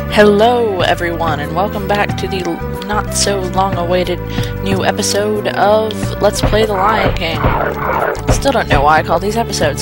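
Clear music plays in the background of a dry sound with no echo. The speech has long, frequent pauses. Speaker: let's play commentator. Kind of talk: let's play gameplay commentary. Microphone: headset.

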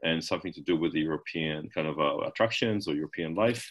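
A man speaks over a quiet background. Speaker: marketing presenter; presenter. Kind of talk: webinar presentation. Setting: video call. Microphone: webcam.

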